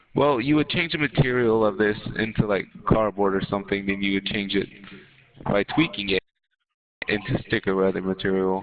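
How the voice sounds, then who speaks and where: At a moderate pace and a fairly low pitch, a man with an unremarkable speaking voice talks, his pitch varying in an ordinary way. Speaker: gaming streamer. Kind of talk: casual chat. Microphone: echo on own mic.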